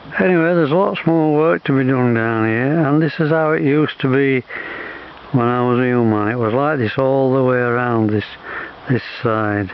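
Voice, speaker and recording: The speech moves at a moderate pace with ordinary pitch variation. Noticeable background noise can be heard. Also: man, medium pitch for a man. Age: 80s+. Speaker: nature vlogger. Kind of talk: casual walking vlog narration. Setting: outdoors. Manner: halting.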